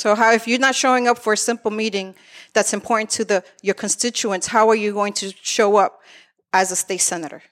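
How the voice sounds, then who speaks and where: An ordinary speaking voice from a woman with an American accent, fairly high in pitch, at a fairly quick pace with fairly even intonation, in a very clean recording with a silent background and a dry, close sound with no echo. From Lawrence, Massachusetts. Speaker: activist running for state senate. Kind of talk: political debate. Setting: studio with live audience.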